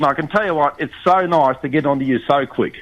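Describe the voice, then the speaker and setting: A man with an Australian accent talks at a very fast pace in a bright, sharp tone. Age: 70s. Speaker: caller. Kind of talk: casual chat. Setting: phone call.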